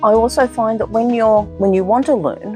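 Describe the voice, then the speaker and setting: A woman with an Australian accent speaks over music in the background. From Australia (Victoria). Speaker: gardener and decluttering business owner. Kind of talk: casual talk to camera, personal introduction.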